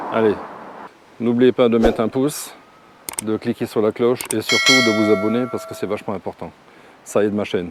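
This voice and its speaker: A man speaks in a medium pitch with fairly even intonation, pausing long and often. Background noise is noticeable. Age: 60s. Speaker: travel vlogger, retiree. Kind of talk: casual vlog talk to camera. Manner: hesitant, many fillers.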